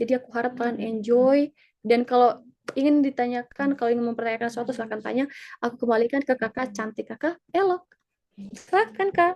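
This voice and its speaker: Very fast and high-pitched, a woman talks with ordinary pitch variation and big swings in loudness, the sound dry and close with no echo. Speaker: student in Serbia, scholarship presenter. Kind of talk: webinar presentation. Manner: animated, casual.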